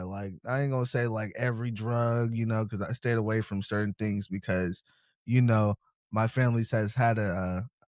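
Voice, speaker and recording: Speaking with an American accent, a man has a medium pitch and ordinary pitch variation. His pace is moderate, and the recording is very clean with a silent background. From Seattle, US Pacific Northwest. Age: 20s. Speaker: interview guest in recovery. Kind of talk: casual interview. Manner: laid-back.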